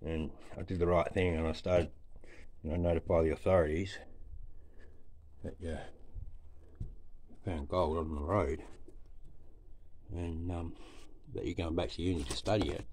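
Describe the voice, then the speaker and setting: A man talks with a very deep, low pitch and a somewhat breathy sound, his intonation fairly even. Long, frequent pauses break up his speech over light background noise. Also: moderate pace. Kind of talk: casual vlog chat. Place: tunnel cave. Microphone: phone near.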